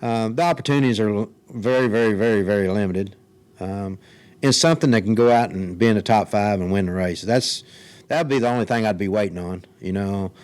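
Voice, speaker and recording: Speaking fairly quickly with a Kentucky accent, a man uses a fairly low voice. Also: ordinary pitch variation. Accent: Southern US (Kentucky). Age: 60s. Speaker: retired race car driver. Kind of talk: interview. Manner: halting.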